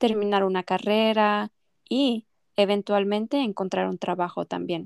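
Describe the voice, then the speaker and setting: A woman talks at a moderate pace in a Mexican accent, her pitch fairly high and her intonation fairly even. The recording is very clean and dry, close-miked with no echo over a silent background. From Mexico. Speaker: language teacher, podcast co-host. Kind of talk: scripted educational podcast intro.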